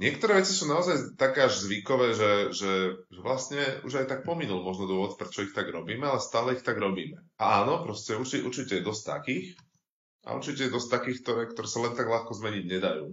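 Speaking at a very fast pace, a man uses lively intonation at a medium pitch. Room echo is audible. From Slovakia, Bratislava. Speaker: university lecturer and researcher. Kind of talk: casual chat.

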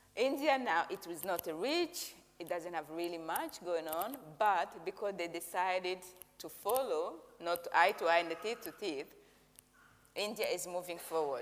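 Ordinary pitch variation marks speech delivered at a moderate pace. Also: woman, fairly low pitch for a woman. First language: Kinyarwanda. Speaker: interpreter for visiting preacher. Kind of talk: interpreted sermon. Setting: church service.

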